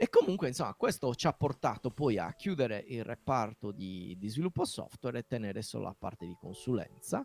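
A man with a Sardinian accent talks at a fairly quick pace with hardly any pauses, his medium pitch swinging very widely and his loudness rising and falling a lot, all in a dry, close sound with no echo. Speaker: software developer and podcast host. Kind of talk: casual interview.

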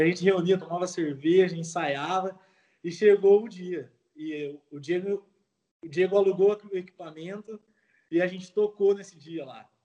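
A man's high-pitched voice, dark and mellow in tone, with fairly even intonation and a moderate pace. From Brazil, São Paulo state (Jundiaí/Campinas). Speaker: Brazilian emigrant and amateur musician. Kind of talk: casual chat.

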